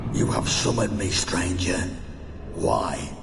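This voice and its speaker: A put-on character voice moves at a fairly slow pace through clear echo and loud background noise. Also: man. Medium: machinima. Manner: cold, menacing.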